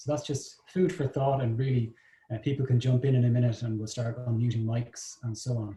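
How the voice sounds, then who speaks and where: With an Irish accent, a man talks at a fairly quick pace in a medium pitch, his tone dark and mellow, somewhat breathy, with fairly even intonation. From Ireland. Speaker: business development consultant, session moderator. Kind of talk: moderated online discussion. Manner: hesitant, many filler words.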